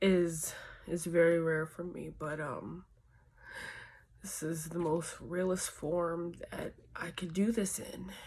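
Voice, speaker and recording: At a very slow pace, a woman speaks in a fairly low pitch with fairly even intonation, long, frequent pauses and big swings in loudness. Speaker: vlogger. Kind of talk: personal confessional vlog. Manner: halting.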